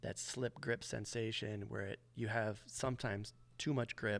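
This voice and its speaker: Soft-spoken and with an American accent, a man talks with fairly even intonation. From Michigan, USA. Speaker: motorcycle racer and tire tester. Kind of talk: interview answer.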